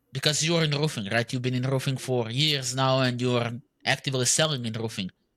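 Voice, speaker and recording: Speaking at a fairly quick pace, a man with a Serbian accent has a bright, sharp tone, medium pitch and fairly even intonation. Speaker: podcast host, marketing agency owner. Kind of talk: casual interview.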